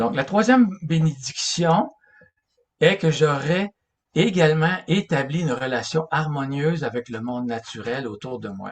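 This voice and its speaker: Somewhat breathy and fairly high in pitch, a man speaks at a fairly slow pace with lively intonation and big swings in loudness. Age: 60s. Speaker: religious lecturer. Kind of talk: lecture. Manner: halting.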